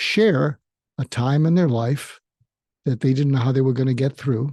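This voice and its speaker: A man's fairly high voice has a dark, mellow tone, somewhat breathy, with ordinary pitch variation. The sound is dry and close with no echo, over a quiet background. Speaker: psychiatrist and podcast host. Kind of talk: solo podcast monologue. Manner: slow.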